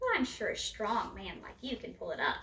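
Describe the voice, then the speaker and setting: A woman performs a put-on character voice at a fairly quick pace. Her loudness swings widely. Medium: read story.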